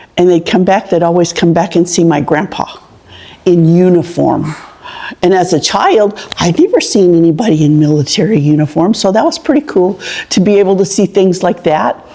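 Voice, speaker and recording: An American accent at a moderate pace, with ordinary pitch variation, very even loudness and noticeable background noise. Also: woman, fairly low pitch for a woman. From Farmersville, California (Central Valley). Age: 70s. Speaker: local elder sharing town history. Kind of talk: oral history interview.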